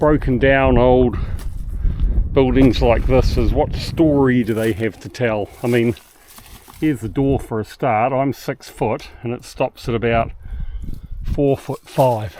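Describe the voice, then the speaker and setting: A man of medium pitch speaks slowly in a New Zealand accent, with fairly even intonation. He takes long, frequent pauses over noticeable background noise. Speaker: boating travel vlogger. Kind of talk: casual vlog narration. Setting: outdoors on an island walk.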